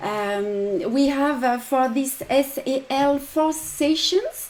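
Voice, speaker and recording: A woman with a French accent, high-pitched and very slow. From France. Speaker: embroidery designer and teacher. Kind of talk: tutorial. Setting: live stream. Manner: halting with many fillers.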